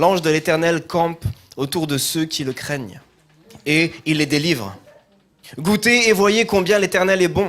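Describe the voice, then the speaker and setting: A man's high-pitched voice with a slight southern French accent, lively in intonation, at a fairly slow pace with long, frequent pauses. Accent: slight southern French, sing-song. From southern France. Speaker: pastor. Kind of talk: scripture reading in a sermon. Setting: church.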